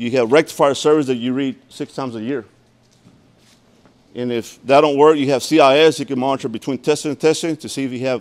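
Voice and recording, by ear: A man speaks at a fairly quick pace with long, frequent pauses, a medium pitch, a slightly mellow tone and ordinary pitch variation.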